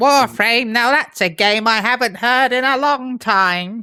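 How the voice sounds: A female-sounding voice performs a put-on character voice at a fairly high pitch. The pace is fairly slow, and the recording is very clean with a silent background.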